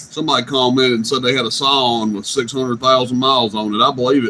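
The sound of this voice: The man's tone is bright and sharp. He speaks at a fairly quick pace with fairly even intonation. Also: medium pitch for a man.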